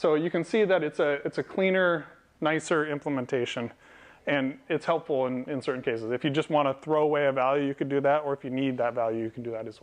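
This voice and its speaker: A man at a very fast pace, fairly high in pitch, with ordinary pitch variation. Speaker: software developer and meetup speaker; speaker. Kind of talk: technical talk to a live audience. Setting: meetup event with audience. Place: meeting room. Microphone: lapel.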